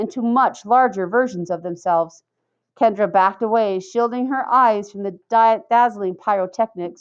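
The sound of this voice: Ordinary pitch variation marks an unforced reading voice against a quiet background.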